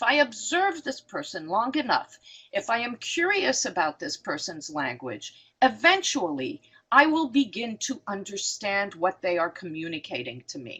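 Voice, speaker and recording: Her voice sits fairly high and carries vocal fry. This woman's pitch swings very widely. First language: not English. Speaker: psychotherapist and professor. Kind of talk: lecture Q&A. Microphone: voice cutting in and out.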